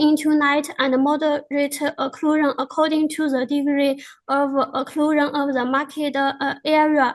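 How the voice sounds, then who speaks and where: With a Chinese accent, a woman speaks in a high voice with monotone, flat intonation. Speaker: researcher presenting a paper. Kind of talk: conference presentation. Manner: halting, many fillers.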